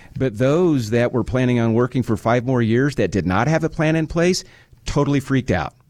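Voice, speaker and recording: Over a quiet background, a man with an American accent uses a normal speaking voice, speaking at a fairly quick pace with lively intonation. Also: medium pitch for a man, very even loudness. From Nebraska. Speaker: financial advisor. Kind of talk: radio talk show. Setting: studio.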